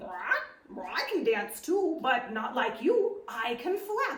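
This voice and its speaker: A woman's put-on character voice, high-pitched with very wide pitch swings, fairly slow, with a slight echo. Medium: read story.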